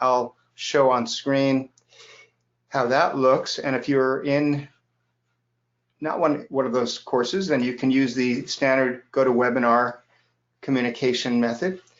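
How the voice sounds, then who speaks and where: Talking at a fairly slow pace, a man with an American accent has an unremarkable speaking voice at medium pitch with fairly even intonation. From US, New York City and Los Angeles. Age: 60s. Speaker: software educator. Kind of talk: live webinar. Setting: online webinar.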